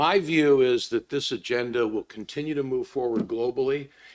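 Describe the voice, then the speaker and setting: A man with an ordinary speaking voice, lively intonation and a moderate pace. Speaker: conference panelist on ESG investing. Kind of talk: panel discussion remarks.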